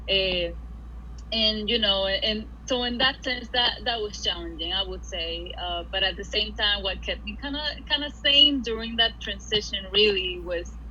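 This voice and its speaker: Speaking at a moderate pace in a Spanish accent, a woman is heard with audible room echo and noticeable background noise. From Puerto Rico. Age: 20s. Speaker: art school graduate. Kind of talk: casual interview. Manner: halting, many fillers and repeats.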